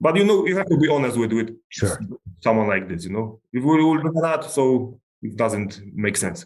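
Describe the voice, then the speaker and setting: At a moderate pace, a man speaks at medium pitch. His pitch swings very widely. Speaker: MMA fighter. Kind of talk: casual interview.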